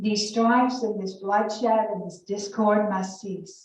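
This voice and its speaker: A woman with a Southern US accent speaks at a medium pitch and a fairly slow pace, her intonation fairly even. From Alabama. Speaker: college professor. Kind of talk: scripture reading.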